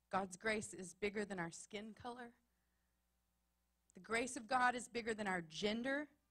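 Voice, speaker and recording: A woman speaks with a Texas accent at a fairly high pitch. Her pace is moderate and her pitch variation ordinary. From Texas, small town. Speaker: pastor. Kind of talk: sermon. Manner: emphatic, repetitive cadence.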